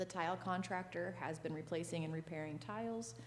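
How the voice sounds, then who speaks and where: A woman with a very deep, low pitch speaks with vocal fry. Room echo is audible. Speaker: parks and recreation director. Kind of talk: board meeting report. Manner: loud.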